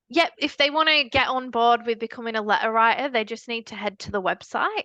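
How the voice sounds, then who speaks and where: The voice has a bright, sharp tone and a strong northern English accent. It moves at a fairly quick pace. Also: woman, fairly high pitch for a woman, ordinary pitch variation, dry, close sound with no echo. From northern England, Leeds. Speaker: charity founder. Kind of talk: podcast interview.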